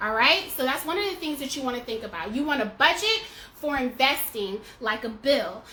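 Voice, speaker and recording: A woman speaks in a raised, projected voice at a high pitch with very wide pitch swings. Her tone is animated and her pace moderate. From US South. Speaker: personal finance educator. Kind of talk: tutorial. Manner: casual.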